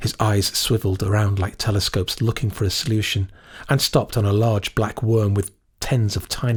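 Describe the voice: The speaker reads aloud plainly, with fairly even intonation.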